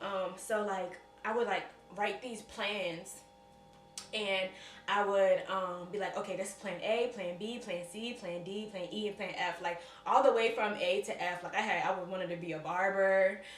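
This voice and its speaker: Moderate pacing and fairly even intonation against noticeable background noise. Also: woman, medium pitch for a woman. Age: 20s. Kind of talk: personal testimony vlog to camera. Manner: casual, conversational.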